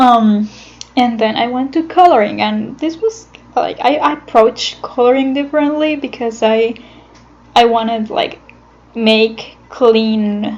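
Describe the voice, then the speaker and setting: Over noticeable background noise, a woman with a non-native accent talks at a fairly slow pace, her fairly high pitch showing ordinary variation. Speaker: animator. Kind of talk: casual talk about own animation process. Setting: recorded on computer without a microphone. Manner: hesitant, many fillers.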